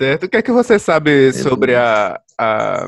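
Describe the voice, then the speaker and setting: A man's voice comes across with a dry, close sound with no echo as he talks fairly slowly. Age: 20s. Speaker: music podcast host. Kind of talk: casual chat.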